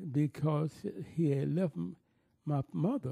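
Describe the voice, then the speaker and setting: Dry and close with no echo, a man speaks at a very slow pace with a fairly high pitch, very wide pitch swings and a dark, mellow tone. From US South, New Orleans, Louisiana. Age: 80s+. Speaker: retired opera singer and music teacher. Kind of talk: oral history interview. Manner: halting, many fillers and restarts.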